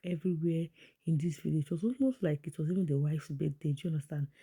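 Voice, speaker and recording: With a Nigerian accent, the speaker sounds animated and talks at a very fast pace. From Nigeria (Igbo). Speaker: vlogger commenting on celebrity events. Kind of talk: casual vlog commentary. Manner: chatty, animated.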